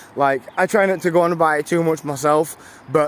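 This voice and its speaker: Noticeable background noise sits behind the speaker. A man with a British accent talks at a fairly quick pace with a fairly high pitch. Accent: British, viewer likes it. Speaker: live streamer. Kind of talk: casual chat. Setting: outdoors, canal walk in light rain. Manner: casual, halting with many fillers.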